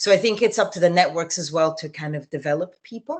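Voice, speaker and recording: A woman speaks with an Italian accent. Her pace is fairly quick. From Italy. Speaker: journalist and TV news presenter. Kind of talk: interview answer. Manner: casual, conversational.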